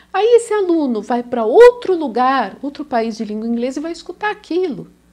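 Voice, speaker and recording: A high-pitched woman talks fairly quickly. Very wide swings mark her pitch. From Brazil, São Paulo. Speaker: language teacher. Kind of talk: video lesson.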